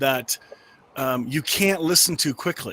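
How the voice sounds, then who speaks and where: Moderate-paced speech from a man, with ordinary variation in pitch. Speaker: podcast host and minister. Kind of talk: panel discussion. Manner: animated.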